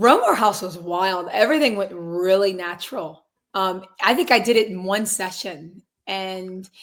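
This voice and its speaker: Her pitch is medium with ordinary variation as this woman speaks at a moderate pace. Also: big swings in loudness. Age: 20s. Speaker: singer and realtor. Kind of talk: interview. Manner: casual.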